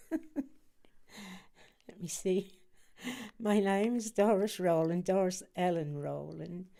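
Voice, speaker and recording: Using a Norfolk accent, a woman speaks at a very slow pace in a medium pitch, her tone dark and mellow and her pitch variation ordinary. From Norwich, eastern England. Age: 90. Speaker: interviewee, war-era wife. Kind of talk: oral history interview. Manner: halting, with fillers.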